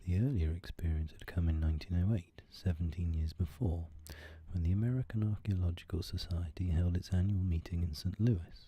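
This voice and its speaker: Over a silent background in a very clean recording, a man speaks in a very deep, low pitch with fairly even intonation and a somewhat breathy quality. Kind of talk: audiobook reading of a horror story, ASMR. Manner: soft-spoken, whispery.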